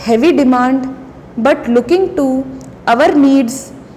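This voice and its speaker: A woman with a high-pitched voice speaks against noticeable background noise. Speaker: shorthand dictation reader. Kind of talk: shorthand dictation at a set speed, formal political speech text. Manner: slow, measured, deliberate pace.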